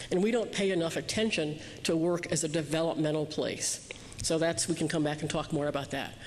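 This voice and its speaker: Amid audible room echo and noticeable background noise, a woman with a very deep, low pitch talks at a fairly quick pace with very even loudness. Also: ordinary pitch variation. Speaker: keynote speaker on youth development. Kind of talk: keynote speech. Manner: fast.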